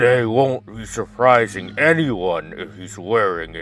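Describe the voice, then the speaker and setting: A man puts on a character voice at a medium pitch and a fairly slow pace. Faint music plays in the background. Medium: game stream. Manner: dry, commanding.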